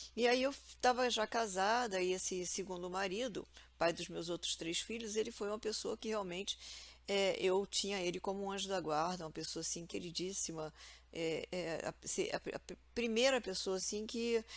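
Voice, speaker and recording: A woman at a medium pitch with ordinary pitch variation, speaking at a moderate pace in a very clean recording against a silent background. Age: 60s. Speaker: vlogger. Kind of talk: personal testimony. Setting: at home. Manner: halting.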